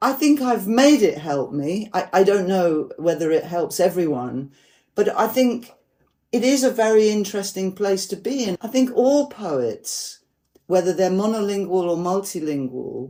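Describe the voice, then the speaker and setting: Heard on a very clean recording with a silent background, the voice moves at a moderate pace in a dark, mellow tone with very wide pitch swings. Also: woman, medium pitch for a woman. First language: Polish. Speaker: poet and translator. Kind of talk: casual chat.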